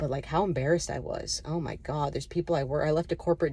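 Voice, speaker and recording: A woman's very deep, low voice with a dark, mellow tone and vocal fry, at a very fast pace. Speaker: chronic illness vlogger. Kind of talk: personal testimony to camera. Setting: self-filmed video. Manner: halting, many fillers and restarts.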